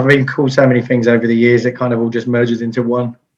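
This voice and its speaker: Speaking in a southeast English accent, a man talks at a very fast pace and a medium pitch. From Kent, England. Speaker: IT business owner and radio DJ. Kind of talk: interview answer. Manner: fast-talking.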